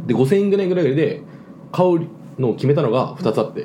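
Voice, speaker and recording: A man's voice comes through audible room echo and noticeable background noise. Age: 20s. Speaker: podcast host and server-side engineer. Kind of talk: casual chat. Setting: home recording with drinks. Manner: fast.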